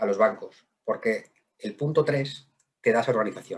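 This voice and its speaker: This man speaks in a somewhat breathy voice. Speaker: wealth management director. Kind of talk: webinar presentation. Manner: fast; halting, repeats words.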